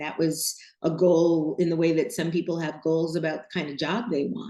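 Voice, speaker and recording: A plain, everyday voice with an American accent moves at a moderate pace with ordinary pitch variation. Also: woman. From New York City. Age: 60s. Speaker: designer and podcast host. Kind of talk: interview.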